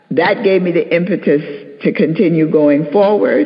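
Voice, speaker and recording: A woman with an American accent speaks at a moderate pace, her pitch swinging very widely, with noticeable background noise. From Harlem, New York City. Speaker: nurse, panelist. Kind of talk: panel discussion.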